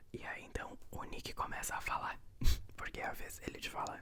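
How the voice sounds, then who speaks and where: The speaker whispers at a fairly slow pace. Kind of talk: ASMR whispered book reading with commentary. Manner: whispered, soft.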